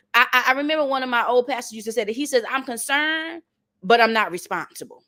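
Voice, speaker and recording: Raising and projecting her voice, a woman in a Southern accent sounds animated, with a high pitch and lively intonation. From North Carolina, US South. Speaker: motivational speaker. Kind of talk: motivational talk. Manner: animated, preacher-like repetition.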